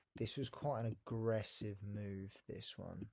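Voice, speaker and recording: This man's voice sits at a fairly low pitch and is somewhat breathy. His intonation is monotone and flat. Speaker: day trader. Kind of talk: trading tutorial.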